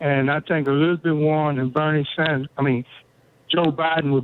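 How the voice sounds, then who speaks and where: At a moderate pace, a man with an ordinary speaking voice talks at a fairly high pitch with fairly even intonation. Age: 60s. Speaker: caller. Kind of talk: call-in talk radio.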